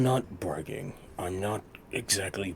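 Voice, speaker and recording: Over clear background noise, a man puts on a character voice at a fairly low pitch. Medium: actual play. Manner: hesitant, earnest.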